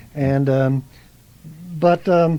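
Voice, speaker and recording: This is a man's voice. It comes with an American accent. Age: 70s. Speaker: artist and retired art teacher. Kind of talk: radio interview. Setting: radio studio. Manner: halting, many fillers and repeats.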